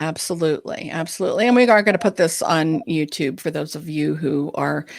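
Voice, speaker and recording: Vocal fry runs through this woman's very deep, low voice. She speaks at a fairly quick pace. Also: ordinary pitch variation, very clean recording, silent background. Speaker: ADHD coach and podcast co-host. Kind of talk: live Q&A chat. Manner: fast.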